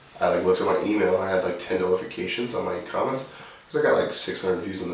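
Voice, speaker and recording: A quiet man speaks at a very fast pace, with audible room echo and noticeable background noise. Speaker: rapper. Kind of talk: casual chat. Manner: low-key, quiet delivery.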